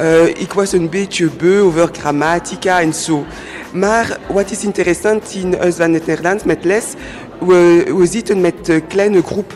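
A woman with a French accent, fairly even intonation and a fairly slow pace, against noticeable background noise. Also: fairly low pitch for a woman. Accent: French-speaker accent in Dutch. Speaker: lawyer learning Dutch as second language. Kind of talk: radio interview. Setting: live radio at public event in cinema. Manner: halting, many hesitations.

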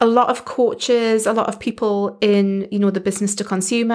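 With a British accent, a woman talks at a fairly quick pace with monotone, flat intonation in a very clean recording with a silent background. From UK. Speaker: podcast host and business coach for coaches. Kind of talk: solo podcast monologue, casual and conversational. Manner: conversational, friendly.

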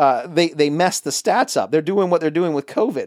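Speaking at a moderate pace with a Southern US accent, a man comes through dry and close with no echo on a very clean recording with a silent background. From US South. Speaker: political podcast host. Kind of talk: casual political chat. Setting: home studio bunker.

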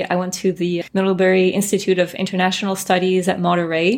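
A woman speaks in a French accent at a medium pitch. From France, then US from age 12. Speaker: translator and interpreter. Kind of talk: interview.

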